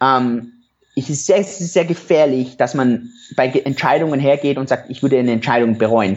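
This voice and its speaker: A plain, everyday voice talks with ordinary pitch variation at a moderate pace. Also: man, medium pitch for a man. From Europe. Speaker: entrepreneur and former doctor. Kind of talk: interview.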